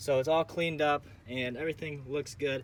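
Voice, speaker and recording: A man's ordinary speaking voice, fairly high in pitch, at a moderate pace with fairly even intonation. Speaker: vlogger. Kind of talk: casual vlog tutorial.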